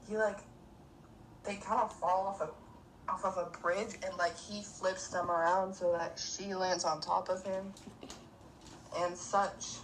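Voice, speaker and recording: With audible room echo, a woman talks at a fairly slow pace and medium pitch, her intonation monotone and flat, broken by long, frequent pauses. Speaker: book podcast co-host. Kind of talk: casual chat. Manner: halting, many fillers.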